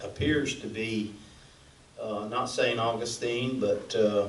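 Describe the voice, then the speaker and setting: Speaking at a fairly slow pace with fairly even intonation, a man with a Southern US accent is heard amid audible room echo and noticeable background noise. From Florida Panhandle. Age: 60s. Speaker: city commissioner. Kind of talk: public meeting comment. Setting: city hall chambers.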